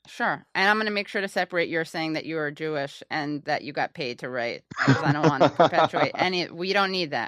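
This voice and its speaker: Her voice is very deep and low in pitch, with ordinary pitch variation. The woman talks at a fairly quick pace with hardly any pauses. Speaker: podcast host. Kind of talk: casual podcast conversation.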